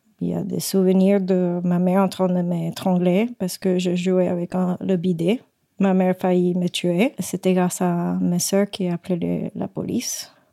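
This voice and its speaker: A woman with a Spanish accent speaks at a fairly slow pace in a monotone, flat intonation, her tone dark and mellow and the sound dry and close with no echo. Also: medium pitch for a woman. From Puerto Rico. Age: 30s. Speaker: guest sharing her life story. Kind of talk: personal testimony. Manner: halting.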